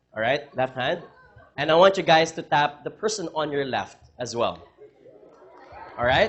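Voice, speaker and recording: Over noticeable background noise, a man with a fairly high pitch and an animated tone talks at a moderate pace, using ordinary pitch variation and long, frequent pauses. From Philippines. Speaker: motivational speaker, reality show winner. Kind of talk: keynote talk to student audience. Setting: stage with audience.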